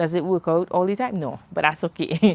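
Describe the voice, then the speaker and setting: This woman has a Caribbean accent and a fairly low pitch. She speaks at a moderate pace. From Trinidad and Tobago. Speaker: self-development podcaster and mom. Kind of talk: live stream chat. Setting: outdoors, livestream. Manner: conversational, animated.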